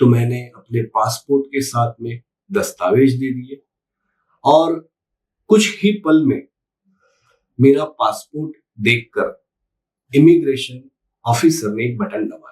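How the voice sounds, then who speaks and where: Somewhat breathy and fairly high in pitch, a man speaks with ordinary pitch variation, big swings in loudness and long, frequent pauses. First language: Gujarati (speaking Hindi). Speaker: YouTube commentator. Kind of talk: opinion monologue to camera.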